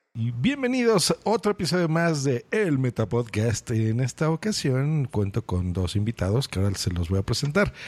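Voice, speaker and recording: Speaking with a Mexican accent, a man with a medium pitch keeps very even loudness and hardly any pauses, using very wide pitch swings in a dry, close sound with no echo. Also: moderate pace. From Mexico. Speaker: podcast host. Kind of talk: casual interview.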